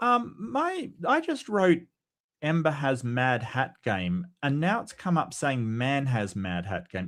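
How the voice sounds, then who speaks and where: With an Australian accent, the speaker's pitch swings very widely on a very clean recording with a silent background. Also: man. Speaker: atheist philosophy commentator. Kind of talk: casual chat. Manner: halting.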